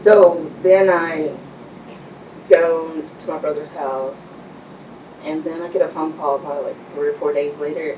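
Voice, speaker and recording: With a Texan accent, a woman speaks at a moderate pace in a very deep, low voice, her intonation fairly even over noticeable background noise. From Texas Panhandle (Amarillo). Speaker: business owner. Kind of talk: interview.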